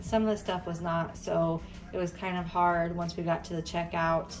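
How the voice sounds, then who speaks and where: A woman speaks. Clear music plays in the background. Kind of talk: casual vlog chat. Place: shop. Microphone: phone near.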